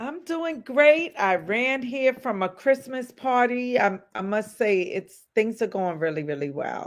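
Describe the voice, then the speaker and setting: Loud and high-pitched, a woman speaks at a fairly slow pace with hardly any pauses and very wide pitch swings, over a quiet background. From US Northeast, South Bronx, New York. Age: 40s. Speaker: social worker and life coach. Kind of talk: interview.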